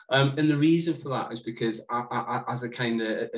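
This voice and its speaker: A man speaks with a northeast England accent. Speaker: social investment fund manager. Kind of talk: panel discussion.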